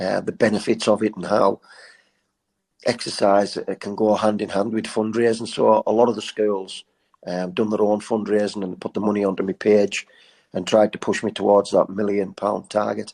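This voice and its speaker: A man with a northern English accent speaks in a fairly low pitch and a flat monotone, recorded dry and close with no echo against a quiet background. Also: moderate pace. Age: 50s. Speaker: charity fundraiser and endurance runner. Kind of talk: casual interview storytelling.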